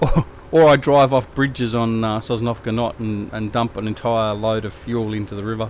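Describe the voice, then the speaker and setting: Fairly even intonation from a man with an Australian accent, amid noticeable background noise. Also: medium pitch for a man, moderate pace. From Tasmania, Australia. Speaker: gaming live streamer. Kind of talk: casual live stream chat. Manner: hesitant, lots of fillers.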